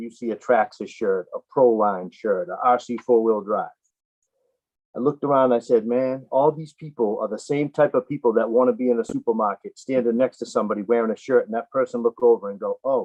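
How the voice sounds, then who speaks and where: A man speaks at a fairly quick pace with a northeastern US accent. His pitch sits in the medium range. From Boston, US Northeast. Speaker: RC apparel business owner. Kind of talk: casual interview.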